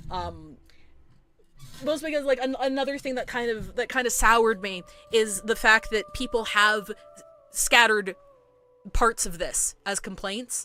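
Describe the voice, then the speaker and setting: A woman's fairly high voice at a fairly slow pace, with long, frequent pauses, ordinary pitch variation, and music in the background. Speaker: gaming streamer. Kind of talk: live stream chat. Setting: live stream. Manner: heated.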